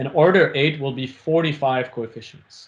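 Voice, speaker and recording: The man's voice is fairly high and somewhat breathy. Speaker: professor. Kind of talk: lecture. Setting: video call. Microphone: video call.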